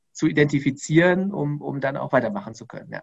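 A man talks with a fairly high pitch. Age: 30s. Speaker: entrepreneur and company founder. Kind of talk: interview. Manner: hesitant with frequent fillers.

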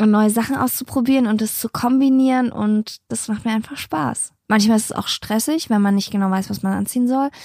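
A woman's fairly high, somewhat breathy voice with a dark, mellow tone, fairly quick pace, ordinary pitch variation and hardly any pauses. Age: 30s. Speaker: podcast co-host. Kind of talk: casual chat. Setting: home attic.

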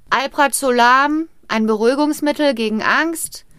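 A woman's high, bright and sharp voice with lively intonation, in a very clean recording with a silent background. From Rhineland, western Germany. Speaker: podcast co-host. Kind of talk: casual storytelling chat.

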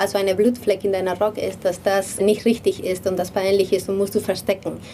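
A medium-pitched woman with a Spanish accent talks over noticeable background noise. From Spain, Madrid. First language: Spanish (speaking German). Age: 30s. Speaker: designer and game co-founder. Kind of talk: interview.

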